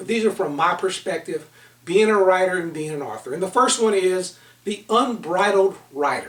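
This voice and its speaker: Amid noticeable background noise, a loud man speaks at a high pitch and a moderate pace with ordinary pitch variation. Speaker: author and leadership consultant. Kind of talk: online book seminar talk.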